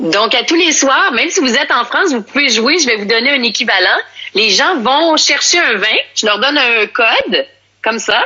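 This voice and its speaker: With a Quebec accent, a woman speaks in a high voice with lively intonation. Her loudness stays very even. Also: moderate pace. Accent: Québécois French. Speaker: sommelier and entrepreneur. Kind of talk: casual interview. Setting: Instagram live video call from home. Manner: animated.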